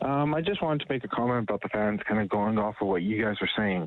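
Through noticeable background noise, a man speaks with a fairly low pitch. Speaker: caller. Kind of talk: casual phone-in comment. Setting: phone call.

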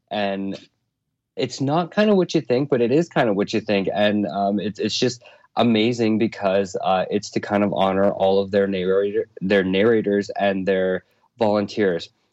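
At a moderate pace, a man with a fairly low pitch, ordinary pitch variation and very even loudness speaks in a plain, everyday voice against a quiet background. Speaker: audiobook host. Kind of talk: casual chat.

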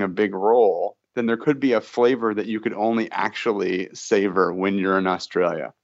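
At a moderate pace, a man with fairly low pitch and fairly even intonation talks in an ordinary speaking voice. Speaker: microbiologist. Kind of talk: interview.

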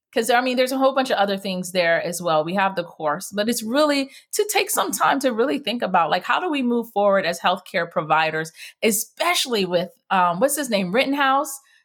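Animated and fairly quick, a woman with an American accent speaks at a fairly high pitch with very wide pitch swings, on a very clean recording with a silent background. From United States, Jamaican family. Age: 40s. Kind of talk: interview.

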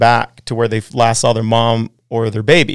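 This is a man's voice. He has a Western US accent. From Wyoming, US. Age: 40s. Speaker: pro snowboarder and rancher. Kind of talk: casual chat. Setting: studio.

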